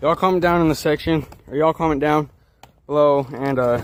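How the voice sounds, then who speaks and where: A man with fairly high pitch speaks very fast over noticeable background noise. His intonation stays fairly even. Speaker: youtuber. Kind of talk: casual vlog. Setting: outdoors.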